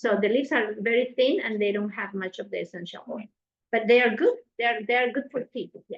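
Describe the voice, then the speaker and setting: A woman with a strong non-native accent talks at a fairly quick pace and fairly high pitch. Her pitch varies ordinarily while her loudness swings widely. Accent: strong foreign. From South America. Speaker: nutrition cooking instructor. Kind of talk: cooking class. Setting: class with live audience.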